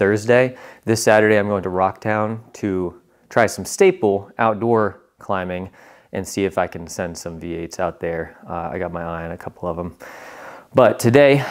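A man's fairly low voice at a moderate pace, with ordinary pitch variation, big swings in loudness and a quiet background. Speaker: vlogger. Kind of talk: casual vlog chat. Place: gym. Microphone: lapel.

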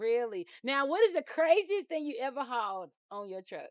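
With a dry, close sound and no echo, a woman speaks at a moderate pace, her high pitch swinging widely.

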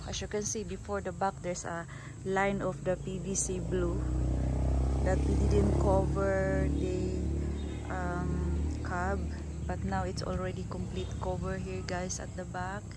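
With music in the background, a woman speaks at a fairly slow pace with ordinary pitch variation, the sound dry with no echo. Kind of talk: casual vlog chat. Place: garden. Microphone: phone near.

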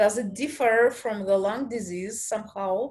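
Someone with a Russian accent speaks at a fairly slow pace with ordinary pitch variation. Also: woman. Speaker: event moderator. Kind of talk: Q&A moderation. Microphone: video call.

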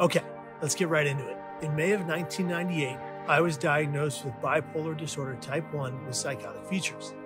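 Over clear background music, a man speaks fairly quickly with ordinary pitch variation. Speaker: mental health storyteller. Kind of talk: personal story vlog. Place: garden.

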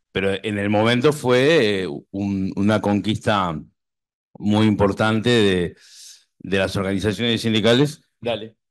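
Against a quiet background, a man with a normal speaking voice talks fairly slowly at a fairly low pitch with ordinary pitch variation. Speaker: doctoral researcher. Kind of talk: academic presentation. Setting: university hall with audience.

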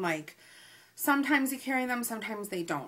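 The voice has a bright, sharp tone and swings very widely in pitch. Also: woman. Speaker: haul vlogger. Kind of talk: casual vlog chat. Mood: annoyed, storytelling. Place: home room. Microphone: webcam.

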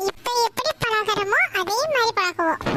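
A woman's squeaky, cartoonish character voice at an extremely high pitch, fairly slow, with a dry, close sound and no echo.

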